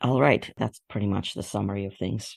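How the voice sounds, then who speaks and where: Recorded dry and close with no echo, a man speaks at a moderate pace in a fairly low pitch with vocal fry. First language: not English. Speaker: fan fiction author and artist. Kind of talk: interview.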